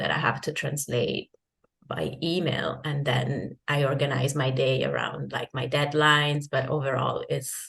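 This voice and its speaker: A somewhat breathy woman with an Italian accent, a very deep, low pitch for a woman, ordinary pitch variation and a fairly slow pace. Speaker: freelance translator and digital nomad. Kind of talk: interview. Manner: halting, many restarts and fillers.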